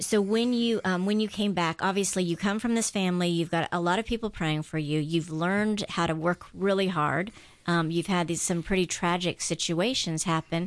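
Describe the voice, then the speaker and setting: A woman's fairly low voice at a moderate pace, with very even loudness, hardly any pauses and ordinary pitch variation. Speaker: radio host. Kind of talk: casual chat. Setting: studio. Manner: animated.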